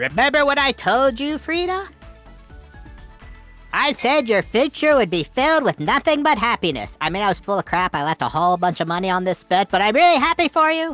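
In a smug tone, the voice runs at a fairly quick pace with a fairly high pitch and very wide pitch swings over faint music in the background. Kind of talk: comic overacting. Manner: smug, mocking.

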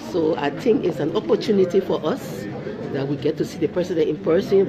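Against crowd noise in the background, a woman talks at a fairly quick pace. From Liberia. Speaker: diplomat. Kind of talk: interview and crowd address. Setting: embassy. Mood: pleased, excited. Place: hall.

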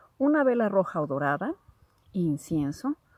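Against a quiet background, a woman speaks at a moderate pace, and the sound is dry with no echo. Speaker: spiritual content creator. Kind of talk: casual vlog chat, instructions. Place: garden. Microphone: phone near.

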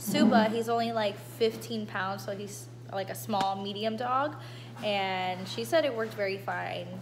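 A woman speaks at a fairly slow pace with noticeable background noise behind her. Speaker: vlogger. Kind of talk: casual vlog chat. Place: home room. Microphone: phone near.

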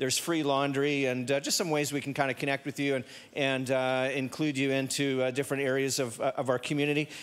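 Fairly quick is the pace at which this man talks. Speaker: pastor giving announcements. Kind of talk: church announcements. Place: church. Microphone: handheld.

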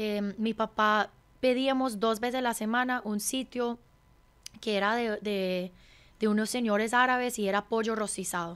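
Fairly high-pitched and fairly even in intonation, a woman speaks at a fairly slow pace. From California, US (Hungarian mother, Colombian father). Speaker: chef and restaurant owner; interviewee. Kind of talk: interview conversation. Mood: warm, reflective storytelling. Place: studio. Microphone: studio mic.

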